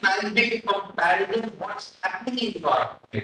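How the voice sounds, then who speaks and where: In a Delhi accent, a man with a high pitch and a bright, sharp tone projects a raised voice at a fairly slow pace. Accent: Delhi-accented Indian English. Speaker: professor. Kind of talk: lecture. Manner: halting.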